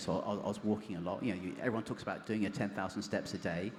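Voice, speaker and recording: Ordinary pitch variation with audible room echo. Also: man. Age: 40s. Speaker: cancer survivor and cyclist. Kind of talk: interview on stage. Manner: halting.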